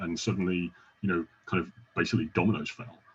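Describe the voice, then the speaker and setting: In a British accent, a man talks with a very deep, low pitch and ordinary pitch variation. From UK. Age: 40s. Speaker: podcast host. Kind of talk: casual interview chat.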